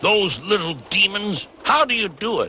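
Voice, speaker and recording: Putting on a character voice, a man speaks in a high pitch with a pompous tone at a moderate pace. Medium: read story. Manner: pompous, huffy.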